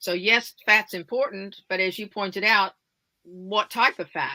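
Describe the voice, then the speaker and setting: A woman speaks at a fairly slow pace. Her medium-pitched voice has a bright, sharp tone. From United States. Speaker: wellness advocate. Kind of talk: interview.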